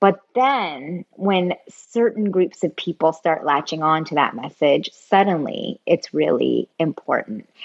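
Fairly low in pitch and marked by vocal fry, a woman with an American accent talks at a fairly slow pace. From US West Coast, San Francisco Bay Area. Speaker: former government intelligence analyst and tech employee. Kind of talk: interview conversation.

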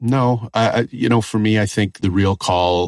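A man with a Canadian accent speaks at a fairly slow pace with ordinary pitch variation. The recording is very clean and silent in the background, with a dry, close sound and no echo. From Northwestern Ontario, Canada. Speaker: comedian and activist. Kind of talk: interview.

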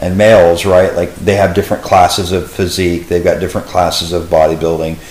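A man with a Texan accent talks at a very fast pace in a very deep, low pitch. His intonation is fairly even, and there is audible room echo. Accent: Texan American English. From Texas, Dallas area. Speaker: fitness coach. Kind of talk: casual interview.

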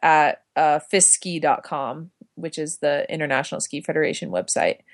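A woman with an American accent at a moderate pace, against a quiet background. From Utah, Park City. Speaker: cross-country skier. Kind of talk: interview. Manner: halting, many fillers.

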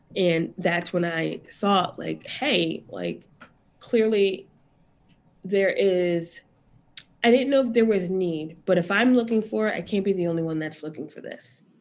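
A woman with an unremarkable speaking voice talks at a fairly slow pace and medium pitch. Her intonation is lively, and her loudness swings widely. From US Northeast. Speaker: business founder. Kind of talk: interview.

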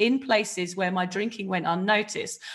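A woman with a southern English accent speaks at a moderate pace. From southern England, near Reading. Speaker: author and podcast host, recovering drinker. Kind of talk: personal testimony in interview.

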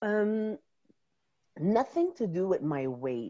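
A woman with a French accent speaks very slowly in a dark, mellow tone, her pitch swinging very widely. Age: 40s. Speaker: guest on podcast. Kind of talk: casual chat. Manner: animated.

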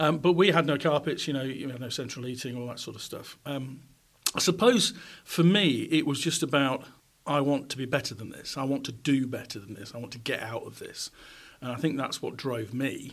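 Speaking with a Yorkshire accent, a man talks at a fairly quick pace in a fairly high pitch, with ordinary pitch variation and big swings in loudness. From South Yorkshire, England. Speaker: former radio presenter and journalist. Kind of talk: interview conversation. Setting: recorded on a university campus.

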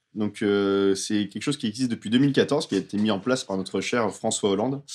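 With a plain, everyday voice, a man speaks at a moderate pace using ordinary pitch variation. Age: 30s. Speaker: film podcast panelist. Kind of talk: casual chat.

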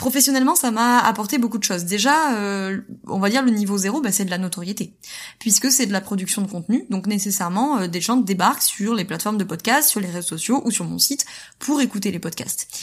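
Somewhat breathy woman's voice at medium pitch, fairly quick pace and lively intonation, in a very clean recording with a silent background. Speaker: entrepreneur and podcaster. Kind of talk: testimony. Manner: fast talker.

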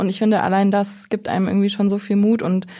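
A woman speaks in a flat, monotone way. Her voice is somewhat breathy. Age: 20s. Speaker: trainee in publishing. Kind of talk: casual interview.

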